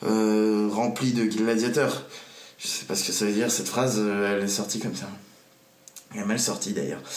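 In a room with audible echo, a man speaks at a fairly low pitch and moderate pace. His intonation is fairly even, broken by long, frequent pauses. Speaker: vlogger. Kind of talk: casual vlog monologue. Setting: at home desk, to camera. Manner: hesitant, many fillers. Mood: relaxed, self-mocking. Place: home room. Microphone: phone near.

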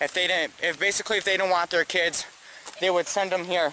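This man has a high voice. The sound is dry with no echo, and there is light background noise. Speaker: explorer vlogger. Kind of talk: casual vlog chat. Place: open country. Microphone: phone near.

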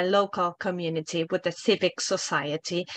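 Bright and sharp in tone, a woman at medium pitch speaks at a fairly slow pace with ordinary pitch variation, the sound dry with no echo and the background quiet. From Argentina. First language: Spanish. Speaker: international office head at a university; panelist. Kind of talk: panel discussion. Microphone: video call.

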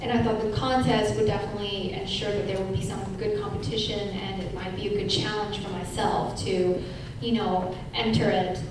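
A woman in strong room echo, with noticeable background noise. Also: moderate pace. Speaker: panelist. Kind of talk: panel talk. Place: hall. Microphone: pa.

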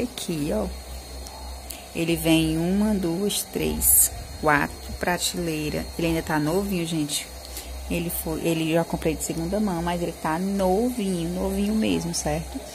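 This woman talks fairly slowly while noticeable background noise carries on behind her. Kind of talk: casual vlog chat. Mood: happy, a bit emotional. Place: shop. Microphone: phone near.

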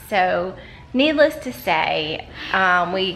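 A woman's voice with very wide pitch swings over music in the background. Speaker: parent vlogger. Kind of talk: casual vlog chat. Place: home room. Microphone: phone near.

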